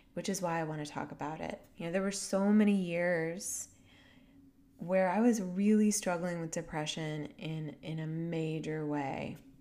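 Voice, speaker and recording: A woman speaks at a fairly slow pace with a fairly low pitch and a dark, mellow tone, and audible room echo surrounds her voice. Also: ordinary pitch variation. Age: 30s. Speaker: podcast host and healing mentor. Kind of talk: reflective solo monologue. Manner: warm, gentle.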